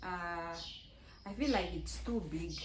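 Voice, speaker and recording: A somewhat breathy voice with audible room echo. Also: woman. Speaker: vlogger. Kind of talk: casual chat. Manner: halting.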